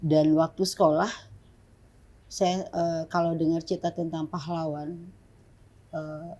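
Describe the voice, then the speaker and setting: A dark, mellow tone at a very slow pace, monotone and flat, on a very clean recording with a silent background. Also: woman. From Papua, Jayapura (born in Ambon). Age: 50s. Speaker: pastor and human rights activist. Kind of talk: interview. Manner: halting.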